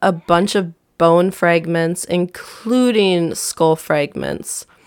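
In a very clean recording with a silent background, a woman speaks in an Upper Midwest accent. Her pitch is fairly low and her pace very slow. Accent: Upper Midwest American. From southern Wisconsin. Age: 20s. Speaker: true crime podcaster. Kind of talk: casual narration of a true crime case. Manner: casual, with many fillers.

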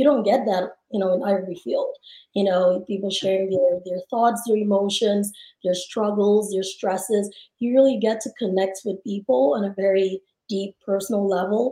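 A woman speaks at a moderate pace with a medium pitch and ordinary pitch variation. Her tone is dark and mellow. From Nigeria. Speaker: psychiatrist and app founder. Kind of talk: interview.

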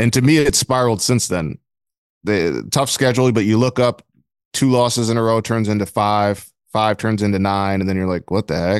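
A man with an American accent uses a normal speaking voice at a fairly low pitch, moderate pace and ordinary pitch variation. The sound is dry and close with no echo, against a quiet background. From Flint, Michigan. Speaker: sports beat writer. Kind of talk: casual interview.

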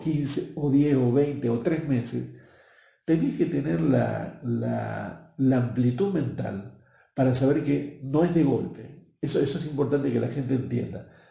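Audible room echo surrounds the recording. A man speaks at a fairly slow pace. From Argentina, Buenos Aires. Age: 60s. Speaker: marketing professional and speaker. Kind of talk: interview.

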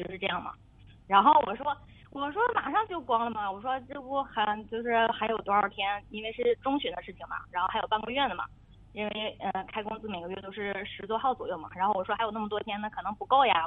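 A woman talks at a very fast pace with a fairly high pitch. Her loudness swings widely. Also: ordinary pitch variation. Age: 30s. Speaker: radio caller with marriage problem. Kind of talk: advice call-in conversation. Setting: phone call. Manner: halting, many fillers.

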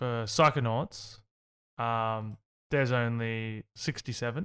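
Speaking with an Australian accent, a man of medium pitch talks at a fairly slow pace with fairly even intonation. The recording is very clean and silent in the background, with a dry, close sound and no echo. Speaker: gaming podcast host. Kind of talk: casual chat.

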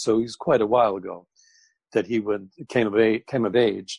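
In a normal speaking voice, the speaker moves at a moderate pace with fairly even intonation, the sound dry and close with no echo against a quiet background. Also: man. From US, New Jersey. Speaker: actor. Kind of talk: casual chat.

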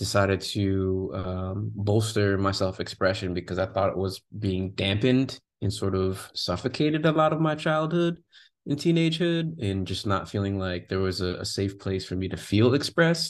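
Moving at a moderate pace, a man with a fairly low pitch makes very wide pitch swings. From Jamaican diaspora. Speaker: creative agency founder. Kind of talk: interview. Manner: animated.

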